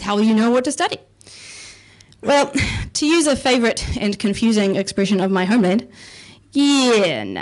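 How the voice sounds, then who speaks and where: With a New Zealand accent, a woman talks at a fairly quick pace using very wide pitch swings. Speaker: comedian. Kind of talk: stand-up. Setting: stage with audience.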